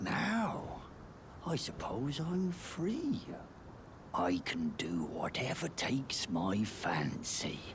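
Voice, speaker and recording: In a put-on character voice, a man whispers very slowly at a very even loudness over loud background noise. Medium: video game. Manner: brash, mocking.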